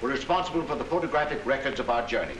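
The voice shows ordinary pitch variation, with audible room echo and light background noise. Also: man. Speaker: expedition leader lecturing. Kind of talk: lecture. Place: hall. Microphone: old recording.

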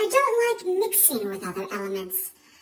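A woman performs a put-on character voice. Her pitch swings very widely. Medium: solo performance.

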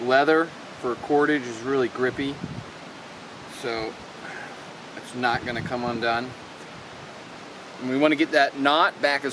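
A man speaks at a moderate pace with fairly even intonation and long, frequent pauses. The sound is dry with no echo, and there is noticeable background noise. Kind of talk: casual tutorial. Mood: relaxed, pleased. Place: forest.

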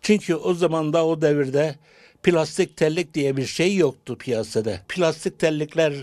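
At a very slow pace, a man with a fairly high pitch and ordinary pitch variation speaks against a quiet background. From Turkey. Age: 70s. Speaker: clog maker. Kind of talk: interview. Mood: wistful, lamenting dying craft. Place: workshop. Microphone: handheld.

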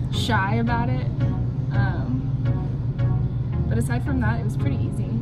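Loud music fills the background. Over it, a woman talks. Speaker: sailing vlogger. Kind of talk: casual vlog chat. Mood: cheerful, playful. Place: bar. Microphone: phone near.

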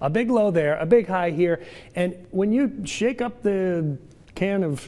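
Very wide pitch swings run through this man's speech. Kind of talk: weather forecast presentation. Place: studio. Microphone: lapel.

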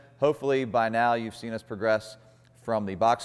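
A man with a fairly low pitch speaks at a moderate pace with fairly even intonation. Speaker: fitness coach. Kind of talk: tutorial. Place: gym.

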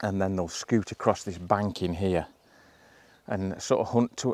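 In a dry sound with no echo, a man with an unremarkable speaking voice talks at a moderate pace with ordinary pitch variation. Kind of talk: casual vlog chat. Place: open country. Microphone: lapel.

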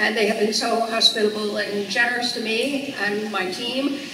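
Audible room echo and noticeable background noise are both present in the recording. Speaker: archaeologist, event host. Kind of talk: speaker introduction. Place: hall.

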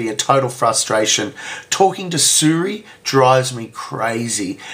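Lively in intonation, a man talks with an Australian accent. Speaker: web developer and vlogger. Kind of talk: casual talk to camera. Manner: hesitant, filler-heavy. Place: home room.

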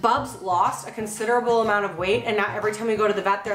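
A woman's voice carries audible room echo, with faint music in the background. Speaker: vlogger. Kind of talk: casual vlog chat. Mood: playful, joking. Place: kitchen. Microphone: camera far.

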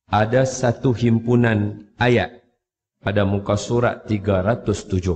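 A man talks at a fairly low pitch. His voice is somewhat breathy. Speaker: Quran teacher. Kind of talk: religious talk with storytelling. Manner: casual conversational.

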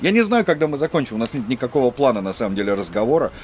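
A man speaks at a very fast pace. Light background noise can be heard behind him. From Russia. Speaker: video blogger living in China. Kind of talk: casual chat. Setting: rooftop. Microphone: camera far.

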